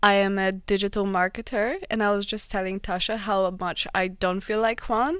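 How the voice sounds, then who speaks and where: Speaking at a moderate pace with hardly any pauses, a woman with a Polish accent keeps a medium pitch and fairly even intonation. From Poland. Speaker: digital marketer. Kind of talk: casual chat.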